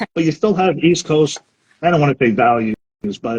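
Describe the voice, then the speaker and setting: A man with an American accent speaks at a fairly high pitch and a fairly slow pace, his voice somewhat breathy. His intonation is lively, and the sound is dry and close with no echo. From Brooklyn, New York. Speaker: live stream host. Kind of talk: interview.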